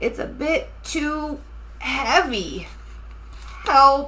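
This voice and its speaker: A woman performs a put-on character voice. Background noise is clear. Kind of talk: bedtime story. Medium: read story.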